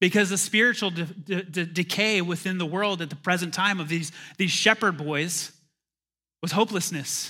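The recording is very clean, with a silent background. A man speaks in a high pitch with a bright, sharp tone and fairly even intonation. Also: moderate pace. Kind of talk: sermon, preacher in full flow at a candlelight Christmas service. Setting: church, in front of a live congregation. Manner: call-and-response, urging the crowd to repeat and say amen.

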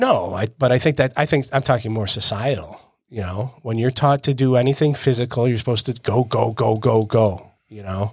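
A man's somewhat breathy voice at medium pitch, with ordinary pitch variation, a moderate pace and hardly any pauses. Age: 50s. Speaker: jiu-jitsu coach and podcast co-host. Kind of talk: casual chat.

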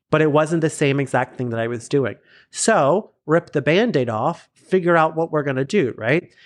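This is a man with a plain, everyday voice and an American accent. His pitch is fairly high, his intonation lively and his pace moderate. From South Florida. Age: 30s. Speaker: creator, teacher and choreographer. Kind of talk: casual chat.

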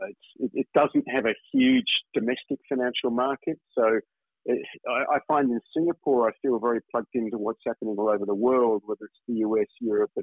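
Vocal fry and lively intonation mark the voice at a moderate pace. The sound is dry and close, with no echo. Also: man.

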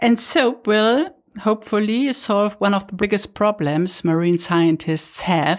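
A woman speaks in an unremarkable speaking voice at a fairly slow pace. Her intonation is lively. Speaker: journalist and podcast host. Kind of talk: interview.

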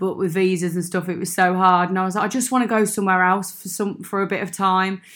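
A woman with a Brummie accent talks at medium pitch in a monotone, flat way. Her pace is very fast with hardly any pauses, in a very clean recording with a silent background. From Birmingham, England. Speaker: expat friend. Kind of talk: casual chat. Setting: makeshift home studio.

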